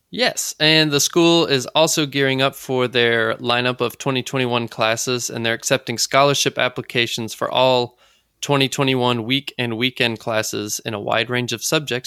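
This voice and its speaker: A man's medium-pitched, bright, sharp voice with an American accent, at a moderate pace with hardly any pauses and fairly even intonation, in a dry, close sound with no echo. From US South, South Carolina. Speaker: podcast co-host, craftsperson. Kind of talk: casual chat. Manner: halting, many fillers.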